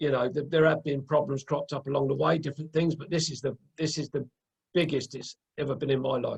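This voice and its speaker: A man's fairly high, somewhat breathy voice at a very fast pace, with fairly even intonation and a dry, close sound without echo. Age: 60s. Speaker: podcast host interviewing a guest. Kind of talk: casual interview chat. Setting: video call. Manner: halting, many fillers and repeats.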